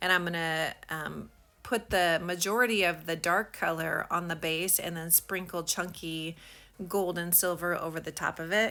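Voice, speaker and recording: On a very clean recording with a silent background, a woman speaks at a moderate pace in a bright, sharp tone, with fairly low pitch and fairly even intonation. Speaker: craft hobbyist. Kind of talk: tutorial. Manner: halting; casual.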